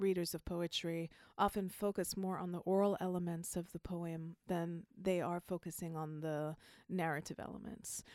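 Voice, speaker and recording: With a slight Jamaican accent, a woman speaks at a fairly low pitch in a very clean recording with a silent background. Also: dry, close sound with no echo. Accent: faint Jamaican. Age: 40s. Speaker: poet and prize judge. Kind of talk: casual interview chat.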